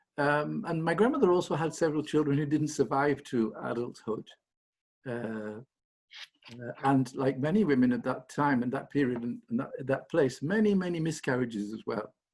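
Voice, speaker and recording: A man with a Lancashire accent, fairly high pitch, lively intonation and a moderate pace. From northern England, Blackburn, Lancashire. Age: 70s. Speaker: anthropology professor. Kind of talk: interview. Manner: halting, many repetitions.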